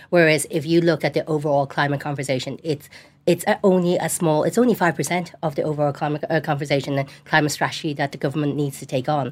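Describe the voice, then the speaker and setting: A woman's very deep, low voice with a Dublin accent, very fast pace, fairly even intonation, and a very clean recording with a silent background. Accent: Dublin Irish. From Dublin, Ireland. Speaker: local politician. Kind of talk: studio panel discussion. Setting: studio.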